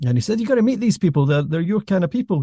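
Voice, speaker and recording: Dry and close with no echo, a man's dark, mellow, somewhat breathy voice carries lively intonation. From Scotland. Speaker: podcast host, former journalist. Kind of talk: interview conversation.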